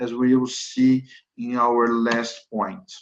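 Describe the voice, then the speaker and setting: A man with a Brazilian accent talks at a medium pitch. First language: Portuguese. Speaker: corporate lawyer. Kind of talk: webinar presentation. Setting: online webinar. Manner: hesitant, with frequent fillers.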